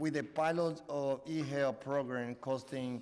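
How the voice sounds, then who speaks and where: A man with a Spanish accent, fairly high-pitched for a man, speaking at a fairly slow pace with fairly even intonation, audible room echo around him. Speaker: city council committee chair. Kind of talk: chairing council hearing. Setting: committee room hearing.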